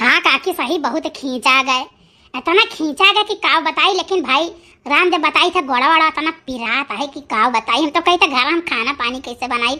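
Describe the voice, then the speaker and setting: A woman's cartoonish character voice, high in pitch. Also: moderate pace, lively intonation. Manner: folksy, chatty.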